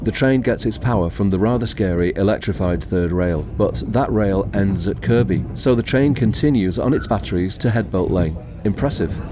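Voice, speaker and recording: With music in the background, the speaker moves at a moderate pace with hardly any pauses, very wide pitch swings and very even loudness. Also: man, fairly low pitch for a man. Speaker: YouTuber, railway video presenter. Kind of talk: documentary voice-over narration.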